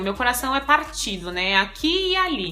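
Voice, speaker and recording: A woman with a high-pitched voice talks over noticeable background noise. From Brazil. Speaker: vlogger. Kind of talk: casual chat.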